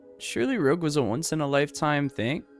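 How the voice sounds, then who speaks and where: Fairly high male voice at a moderate pace, with music in the background. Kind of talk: casual gaming commentary video narration.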